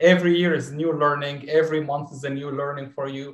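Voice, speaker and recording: A man with an Arabic accent speaks with fairly even intonation, with audible room echo around him. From southern Syria. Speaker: dentistry student. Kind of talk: casual chat.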